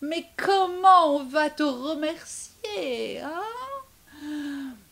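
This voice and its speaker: A woman uses a put-on character voice at high pitch with lively intonation. Her pace is very slow. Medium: read story.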